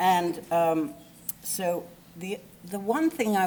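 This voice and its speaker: A woman with an English accent, medium in pitch, speaking at a very slow pace. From England. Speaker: eulogy speaker, friend of the deceased. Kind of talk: eulogy. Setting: memorial service. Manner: animated; halting.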